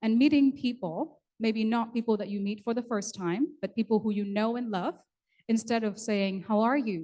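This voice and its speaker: A woman with a Vietnamese accent speaks at a moderate pace and a fairly high pitch, with ordinary pitch variation. Her voice is somewhat breathy, with a dark, mellow tone. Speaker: event emcee. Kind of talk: bilingual ceremony hosting. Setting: conference hall with audience. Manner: formal.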